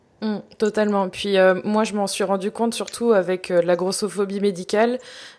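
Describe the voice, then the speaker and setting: At a medium pitch and moderate pace, a woman speaks in a monotone, flat way over noticeable background noise. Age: 30s. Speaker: body-positive influencer and author. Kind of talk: casual chat.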